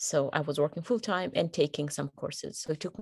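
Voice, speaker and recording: A woman speaks at a moderate pace in a very deep, low pitch with vocal fry. The background is quiet. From Kenya. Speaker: peace building professional and podcaster. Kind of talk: casual chat.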